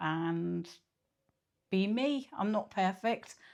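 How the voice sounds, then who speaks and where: A woman speaks at a medium pitch in a Scottish accent. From Scotland, Kilmarnock. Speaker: vlogger and mental health nurse. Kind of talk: casual vlog talk to camera. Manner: hesitant, many filler ums.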